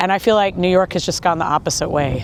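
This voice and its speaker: A General American accent comes through at a very fast pace with ordinary pitch variation, over noticeable background noise. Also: woman. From Kansas, US Midwest. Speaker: tour guide. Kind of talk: street interview answer.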